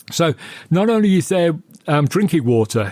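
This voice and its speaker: A man with a British accent speaks at a moderate pace with lively intonation, the sound dry and close with no echo on a very clean recording with a silent background. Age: 60s. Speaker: podcast guest discussing horror films. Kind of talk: casual film discussion.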